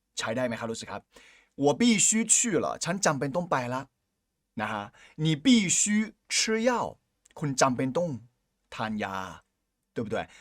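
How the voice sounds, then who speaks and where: A very clean recording with a silent background of a man speaking fairly high, his pitch swinging very widely. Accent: Chinese. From China. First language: Chinese (speaking Thai). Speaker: Chinese language teacher. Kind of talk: language lesson.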